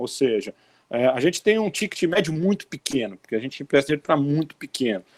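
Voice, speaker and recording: A man's very fast speech in a Brazilian accent, with very wide pitch swings and a dry, close sound with no echo. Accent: non-Northeastern Brazilian. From Brazil, outside the Northeast. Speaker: bank chief economist. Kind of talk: interview Q&A, explanatory.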